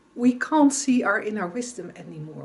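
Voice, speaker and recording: This voice has a Dutch accent and lively intonation. It sounds somewhat breathy. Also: woman. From Netherlands. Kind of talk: reflective talk to camera. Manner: halting.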